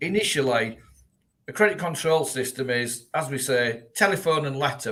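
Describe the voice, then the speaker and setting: Bright and sharp in tone, a man with a fairly high pitch talks at a moderate pace with lively intonation. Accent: Yorkshire. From Yorkshire, northern England. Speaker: debt recovery business owner. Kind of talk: live-streamed webinar interview.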